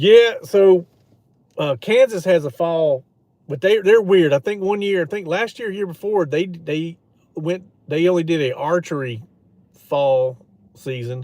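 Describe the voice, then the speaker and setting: A man with a Louisiana accent, high-pitched for a man, dark and mellow in tone, lively in intonation, fairly slow, with long, frequent pauses. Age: 40s. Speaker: outdoors streamer, hunter. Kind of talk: casual live stream chat. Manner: casual, meandering with fillers.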